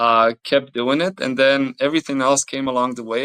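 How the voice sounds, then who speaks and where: Recorded with a dry, close sound and no echo, a man in a Bosnian accent speaks at a fairly quick pace. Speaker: Olympic athlete. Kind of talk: interview. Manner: halting.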